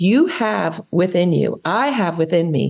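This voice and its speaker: At a fairly slow pace, a woman speaks with a fairly low pitch and an animated tone. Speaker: podcast guest on pleasure and prosperity. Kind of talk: podcast interview.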